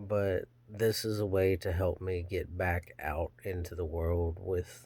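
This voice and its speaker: A soft-spoken man talks in a very deep, low, somewhat breathy voice with fairly even intonation. The recording is very clean, with a silent background. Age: 30s. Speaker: channel owner, hobby blacksmith vlogger. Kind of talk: casual personal vlog monologue. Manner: halting.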